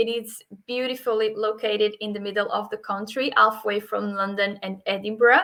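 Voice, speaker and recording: A woman's fairly high, bright, sharp voice with a Portuguese accent at a moderate pace. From Portugal. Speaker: hotel sales manager. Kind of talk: webinar presentation. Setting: video call webinar. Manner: hesitant, many fillers.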